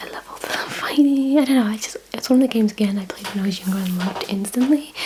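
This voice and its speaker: A woman whispers softly at a very fast pace, her loudness swinging widely. Background noise is noticeable. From Britain. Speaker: ASMR creator. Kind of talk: ASMR unboxing, whispered talk to camera. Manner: whispered, soft-spoken.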